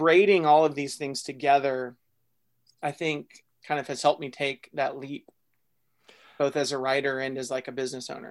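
On a very clean recording with a silent background, a man with a Texan accent speaks at a moderate pace, with fairly even intonation and a fairly high pitch. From North Texas, small town. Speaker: fiction writer and writing workshop founder. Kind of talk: interview conversation.

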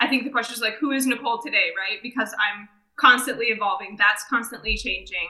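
With an American accent, a woman speaks in an unremarkable speaking voice, fairly high in pitch with ordinary pitch variation. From southeast Michigan. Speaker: franchise development director. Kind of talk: casual interview chat.

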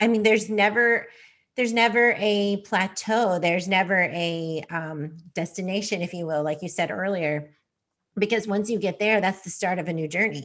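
An ordinary speaking voice at a moderate pace with ordinary pitch variation and a quiet background. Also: woman, medium pitch for a woman. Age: 40s. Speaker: podcast host. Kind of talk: casual interview chat.

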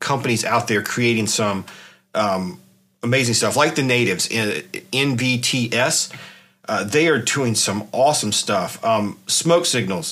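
An unremarkable speaking voice, this man with an American accent talks fairly slowly at a medium pitch with lively intonation. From South Carolina, US South. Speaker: podcast host. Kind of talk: casual solo podcast talk. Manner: frequent fillers and restarts.

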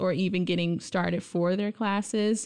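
A woman with a plain, everyday voice, medium pitch, ordinary pitch variation, quiet background. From Brooklyn, New York City. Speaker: college associate dean. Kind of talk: casual interview.

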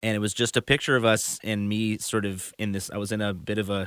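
A man's plain, everyday voice with an American accent, fairly low in pitch and at a fairly quick pace, on a very clean recording with a silent background. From US Midwest, Chicago. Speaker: musician and band leader. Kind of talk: casual interview.

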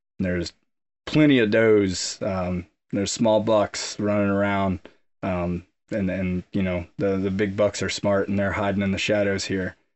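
A man's unremarkable speaking voice, fairly low in pitch, at a fairly slow pace with fairly even intonation. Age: 30s. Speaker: Navy officer and former Marine, combat wounded. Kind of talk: casual interview. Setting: on location at a rural camp.

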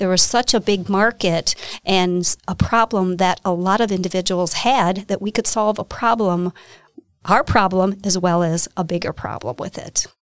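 A woman with an American accent speaks at a medium pitch and moderate pace with fairly even intonation, in a dry, close sound with no echo. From Wisconsin, US. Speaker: business owner. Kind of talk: interview.

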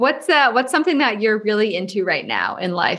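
This woman has an ordinary speaking voice at a medium pitch. Her intonation is lively. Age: 30s. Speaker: podcast host. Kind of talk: casual interview chat.

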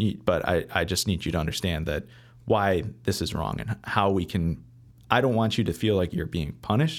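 A man's very deep, low voice in an American accent, at a moderate pace with ordinary pitch variation, on a very clean recording with a silent background. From Michigan, Metro Detroit. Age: 20s. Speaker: chef. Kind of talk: casual interview.

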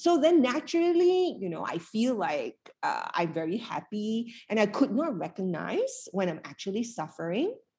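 Somewhat breathy, a woman speaks at a fairly slow pace, her pitch swinging very widely. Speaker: happiness coach. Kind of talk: live fireside chat with audience. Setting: live event workshop.

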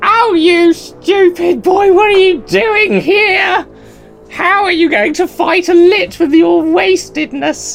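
Over clear music in the background, a put-on character voice speaks at a fairly slow pace, shrill and at an extremely high pitch. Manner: screeching, taunting, contemptuous.

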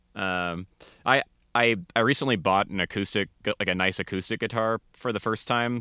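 Here a man with an American accent talks at a moderate pace in a bright, sharp tone with ordinary pitch variation. The recording is very clean and silent behind him, with a dry, close sound and no echo. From US Pacific Northwest, Seattle area. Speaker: metal musician. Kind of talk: casual chat.

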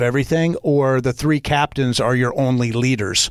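Speaking at a moderate pace, this man has an unremarkable speaking voice. Ordinary variation shapes his fairly high pitch. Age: 40s. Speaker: leadership coach and speaker. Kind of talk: casual interview.

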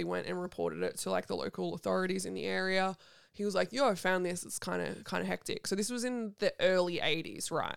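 A woman speaks fairly quickly with an Australian accent. The recording is very clean, with a silent background. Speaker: podcast host. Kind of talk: casual chat.

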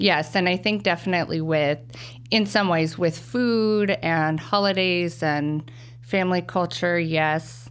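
A woman with a Midwestern US accent talks at a fairly slow pace in a fairly low voice. Her intonation is lively and her loudness very even. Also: very clean recording, silent background. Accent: General American, Midwest. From US Midwest, Wichita, Kansas. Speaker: speech language pathologist. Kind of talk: interview.

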